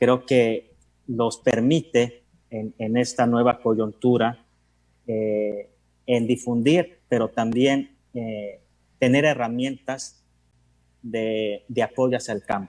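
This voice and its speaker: At a very slow pace with long, frequent pauses, a man talks at a medium pitch with fairly even intonation. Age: 30s. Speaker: historian. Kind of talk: panel talk. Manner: halting, many repetitions.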